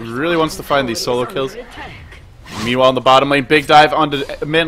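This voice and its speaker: A man at a very fast pace with noticeable background noise. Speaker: esports commentator. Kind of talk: live commentary. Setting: home at night, streaming. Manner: quiet, holding back volume.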